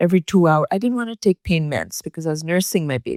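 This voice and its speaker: In an ordinary speaking voice, fairly low for a woman, she speaks with lively intonation, the sound dry and close with no echo on a very clean recording with a silent background. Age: 60s. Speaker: posture coach. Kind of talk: interview.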